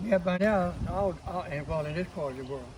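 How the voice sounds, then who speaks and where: Here a man speaks with a high pitch. His pace is moderate and his pitch variation ordinary. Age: 80s+. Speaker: home gardener. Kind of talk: casual garden tour talk.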